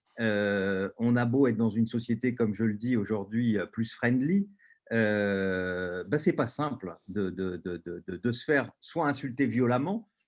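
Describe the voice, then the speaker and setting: Against a quiet background, a man at a medium pitch speaks with lively intonation. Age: 60s. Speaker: panelist and LGBT activist. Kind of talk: webinar panel talk. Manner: halting, many hesitations.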